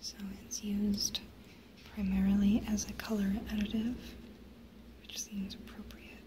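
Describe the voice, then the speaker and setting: A woman speaks at a moderate pace in a medium pitch with a calm tone, monotone, flat intonation, and long, frequent pauses over noticeable background noise. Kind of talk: ASMR soft-spoken show and tell. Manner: soft-spoken, whispery, calm.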